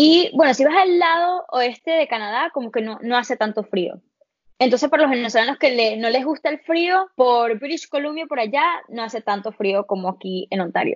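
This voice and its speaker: Speaking at a fairly quick pace, a woman has a high pitch and lively intonation. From Belgium, Venezuelan parents. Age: 20s. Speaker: podcast guest, Venezuelan abroad. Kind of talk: casual interview.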